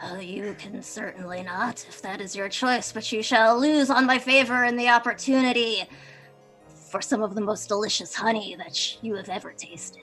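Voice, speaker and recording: A woman's put-on character voice, gravelly and growling, fairly high in pitch, at a moderate pace, with clear music in the background. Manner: grandiose, commanding.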